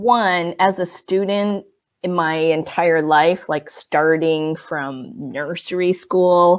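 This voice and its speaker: A woman with a General American accent, fairly low in pitch, with ordinary pitch variation and a very slow pace. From United States, Chinese-American immigrant family. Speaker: professor. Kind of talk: interview. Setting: video call. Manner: hesitant, many fillers.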